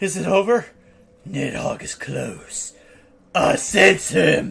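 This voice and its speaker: Using a put-on character voice, a man speaks very slowly in a gravelly, raspy way. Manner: edgy, dramatic.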